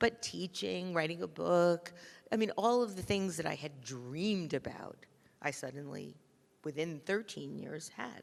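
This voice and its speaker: A woman with a plain, everyday voice speaks at a fairly low pitch with lively intonation. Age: 60s. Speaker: designer, podcast host and author. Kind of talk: onstage conversation.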